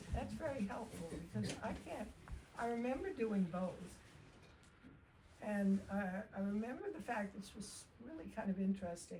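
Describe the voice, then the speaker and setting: A somewhat breathy woman at a medium pitch, moderate in pace, with ordinary pitch variation and long, frequent pauses. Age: 80s+. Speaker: equestrian community elder. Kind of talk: reminiscence in casual group chat. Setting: fireside chat with small audience.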